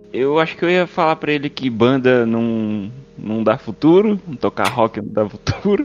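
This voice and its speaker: A man's intonation is lively. He speaks at a fairly slow pace with music behind him. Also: medium pitch for a man. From São Paulo state, Brazil (Mogi/Poá area). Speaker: podcast host. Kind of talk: casual chat.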